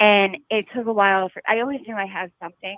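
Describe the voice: A woman talks fast at a medium pitch in an American accent, her intonation fairly even. The sound is dry and close, with no echo.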